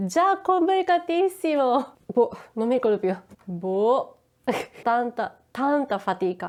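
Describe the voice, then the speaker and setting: A woman with a high pitch speaks at a very slow pace with long, frequent pauses. Her pitch swings very widely. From Japan. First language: Japanese (speaking Italian). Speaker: YouTuber. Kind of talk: casual vlog explanation.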